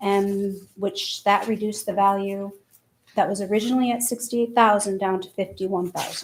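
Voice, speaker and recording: Soft-spoken, a woman talks at a moderate pace and medium pitch with monotone, flat intonation. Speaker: town assessor. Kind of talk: public hearing presentation.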